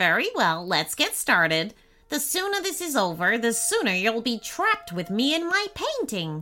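A female-sounding voice, fairly high for a woman, performs a put-on character voice. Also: moderate pace. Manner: giggling, mischievous.

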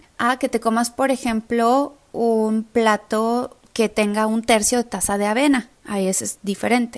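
The woman has a Mexican accent and a fairly high voice. Her tone is animated. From Mexico. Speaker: nutrition coach. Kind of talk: podcast monologue.

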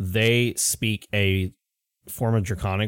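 A quiet background behind a natural voice reading aloud, intonation fairly even

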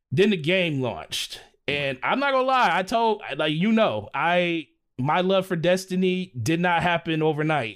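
A man with an American accent speaks at a fairly slow pace, his pitch high and his intonation lively. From US Midwest. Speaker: gaming content creator. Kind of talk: casual chat.

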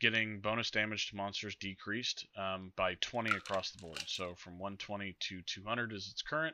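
Here a man talks in a normal speaking voice. His pitch is fairly low, with ordinary pitch variation. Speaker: guest. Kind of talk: casual chat about game patch notes.

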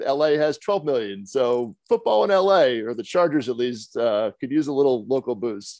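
A man speaks with a plain, everyday voice at a moderate pace and medium pitch. His intonation is lively, with hardly any pauses, against a quiet background. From New Jersey. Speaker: podcast host discussing media and sports business. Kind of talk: casual chat.

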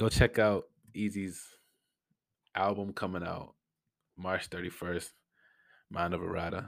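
A man's very deep, low, quiet voice, monotone and flat, at a very slow pace on a very clean recording with a silent background. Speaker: podcast host. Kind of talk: casual solo Q&A.

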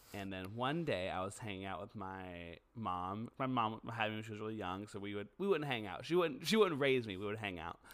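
A man with an unremarkable speaking voice talks at a fairly quick pace with hardly any pauses. His pitch is fairly low, his intonation lively, and his loudness swings widely. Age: 30s. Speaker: podcast co-host. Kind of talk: casual chat.

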